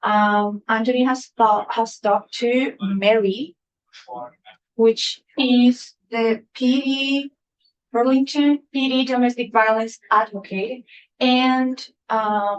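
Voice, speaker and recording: A high-pitched woman's voice with a Colombian accent and fairly even intonation. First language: Spanish. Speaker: testifying witness, equity office staff. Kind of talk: committee testimony. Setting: legislative committee hearing.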